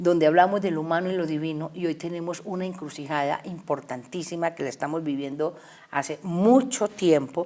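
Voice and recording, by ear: A woman's low-pitched voice with a dark, mellow tone, ordinary pitch variation, a fairly quick pace and few pauses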